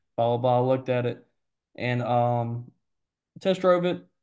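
A man with an Alabama accent speaks in a dark, mellow tone with ordinary pitch variation. The background is quiet. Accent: Southern US (Alabama). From US South, Mobile, Alabama. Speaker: HVAC salesman. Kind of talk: casual interview chat.

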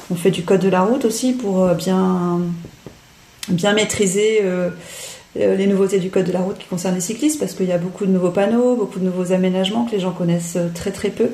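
Fairly quick woman's speech at a medium pitch with fairly even intonation, over noticeable background noise. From Paris, France. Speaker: cycling educator. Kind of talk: interview. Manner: hesitant, filler-heavy.

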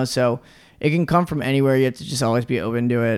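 An ordinary speaking voice, a man with an American accent talks at a fairly quick pace in a medium pitch on a very clean recording with a silent background. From Norfolk, Virginia, US. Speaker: music video director. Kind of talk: casual interview.

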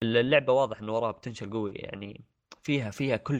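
Against a quiet background, a man uses an unremarkable speaking voice at medium pitch. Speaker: podcast co-host. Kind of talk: casual chat.

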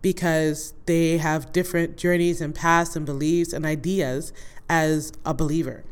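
A woman speaks in an ordinary speaking voice, fairly low in pitch. Her pace is moderate. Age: 40s. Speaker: podcast host. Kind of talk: casual monologue.

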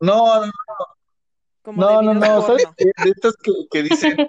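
The voice belongs to a man. It sounds dry and close, with no echo. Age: 30s. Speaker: office worker, podcast co-host. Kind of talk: casual chat. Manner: halting, repeats words.

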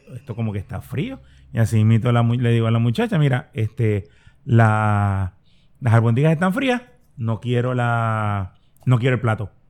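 A man speaks in an unremarkable speaking voice at a medium pitch and a moderate pace. The recording is very clean with a silent background. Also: ordinary pitch variation. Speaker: podcast co-host. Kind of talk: casual chat.

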